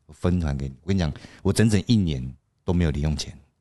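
Against a quiet background, a man talks at a very fast pace in a very deep, low voice with a dark, mellow tone. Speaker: podcast co-host. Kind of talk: casual chat.

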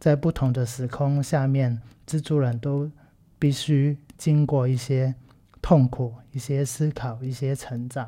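The speaker has a Cantonese accent and talks at a very slow pace. The recording is very clean, with a silent background. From Macau. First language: Cantonese (speaking Chinese). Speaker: film podcast host and teacher. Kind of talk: casual solo commentary. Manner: halting, many fillers.

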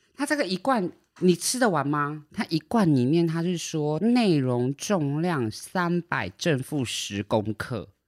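The speech moves at a very slow pace with hardly any pauses, in a very clean recording with a silent background. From Taiwan. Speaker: podcast co-host. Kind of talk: casual chat. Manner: animated, laughs a lot.

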